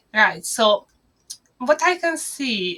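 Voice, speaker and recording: Bright and sharp in tone, the speaker talks at a very slow pace in a Hungarian accent. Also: woman. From Hungary. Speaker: marketing agency owner. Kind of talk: business talk to camera.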